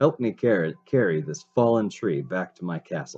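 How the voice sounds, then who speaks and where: This is a put-on character voice, gruff and delivered at a moderate pace. The pitch swings very widely. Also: man, fairly low pitch for a man. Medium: read story. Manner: roaring, gruff.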